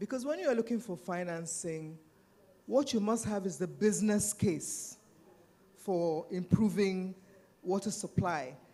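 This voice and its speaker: A fairly slow delivery in a Nigerian accent, broken by long, frequent pauses. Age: 70s. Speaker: panelist and civil society activist. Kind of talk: panel discussion.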